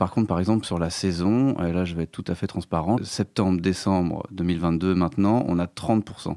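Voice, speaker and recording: Man with a very deep, low pitch and dark, mellow tone, fairly even intonation, moderate pace, very clean recording with a silent background. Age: 40s. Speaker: concert venue programmer. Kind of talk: interview. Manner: hesitant, many fillers.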